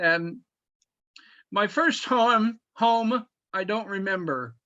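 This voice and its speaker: A man with an American accent speaks at a very slow pace in a raised, projected voice, his tone bright and sharp, with ordinary pitch variation against a quiet background. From US Midwest, Michigan. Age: 70s. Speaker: poet. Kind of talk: poetry reading. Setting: video call.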